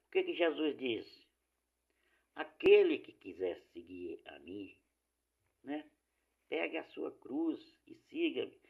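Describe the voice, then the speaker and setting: A man at a fairly slow pace. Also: long, frequent pauses, big swings in loudness. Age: 60s. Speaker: lay preacher. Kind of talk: informal sermon.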